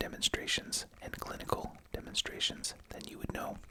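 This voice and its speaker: A whispering voice with a soothing tone comes through over noticeable background noise. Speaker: ASMR roleplay host playing a veterinary clinician and researcher. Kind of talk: ASMR roleplay lecture, educational, as a veterinary researcher. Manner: whispered, soothing.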